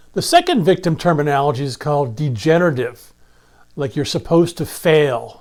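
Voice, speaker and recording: An ordinary speaking voice from a man, fairly high in pitch, with ordinary pitch variation, a fairly quick pace and a very clean recording over a silent background. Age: 60s. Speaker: holistic health educator. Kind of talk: educational monologue. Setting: recorded video.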